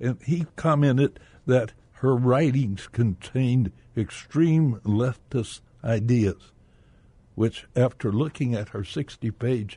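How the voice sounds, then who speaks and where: At a very slow pace, a man with an American accent speaks in a dark, mellow, somewhat breathy voice with ordinary pitch variation, the sound dry and close with no echo. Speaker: retired businessman, bank director. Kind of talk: radio interview. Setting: radio studio.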